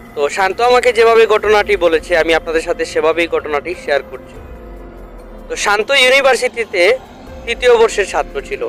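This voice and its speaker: Lively intonation carries the speech over music playing in the background. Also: man, high pitch for a man. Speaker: horror story host / narrator. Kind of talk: horror radio show host intro.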